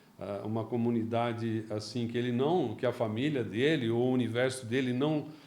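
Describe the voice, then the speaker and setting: At a moderate pace, a man talks at a medium pitch with ordinary pitch variation, and audible room echo surrounds his voice. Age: 60s. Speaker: company founder, entrepreneur. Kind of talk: interview. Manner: halting, repeats words.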